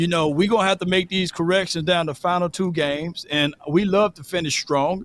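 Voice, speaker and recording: Loud and high-pitched, a man speaks at a fairly quick pace with hardly any pauses. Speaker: sports talk show co-host. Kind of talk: casual sports debate. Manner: animated.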